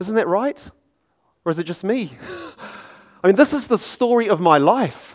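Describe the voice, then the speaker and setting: With a New Zealand accent, a man speaks in a high voice at a moderate pace, using lively intonation and long, frequent pauses. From New Zealand, Auckland. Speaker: preacher. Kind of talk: sermon. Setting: church.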